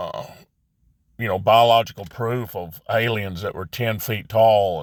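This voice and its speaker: A man talks at a moderate pace with a fairly low pitch and fairly even intonation. The recording is very clean, with total silence behind him. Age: 60s. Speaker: religious vlogger. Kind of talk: casual monologue. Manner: halting.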